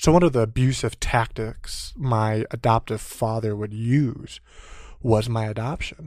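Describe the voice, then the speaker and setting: A man speaks in a normal speaking voice at medium pitch, with fairly even intonation. The recording is very clean, with a silent background. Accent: American. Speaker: Air Force veteran and business owner. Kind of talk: interview.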